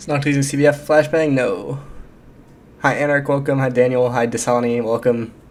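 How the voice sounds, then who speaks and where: A man with a fairly high-pitched voice speaks in a monotone, flat intonation. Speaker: gaming streamer. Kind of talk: live stream chat while gaming. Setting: home streaming setup with earbuds. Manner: fast, stumbling over words.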